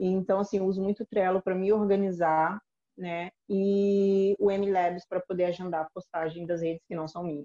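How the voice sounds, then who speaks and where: A woman speaks at a moderate pace and medium pitch in a dark, mellow tone, her intonation flat and monotone, with a dry, close sound and no echo. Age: 30s. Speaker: digital marketing specialist. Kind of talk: interview.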